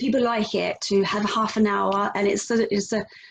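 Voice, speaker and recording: This woman's voice has vocal fry. It sits at a medium pitch. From Denmark. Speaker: yoga instructor. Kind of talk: interview answer. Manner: hesitant, enthusiastic.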